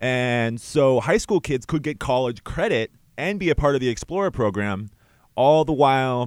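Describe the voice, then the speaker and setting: The recording is very clean, with a silent background. A man at medium pitch speaks with lively intonation. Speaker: student radio host. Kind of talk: radio interview. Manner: fast talker.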